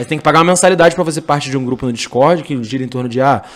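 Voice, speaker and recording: A man's voice with ordinary pitch variation. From Rio de Janeiro, Brazil. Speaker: entrepreneur, sneaker store owner. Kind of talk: podcast interview.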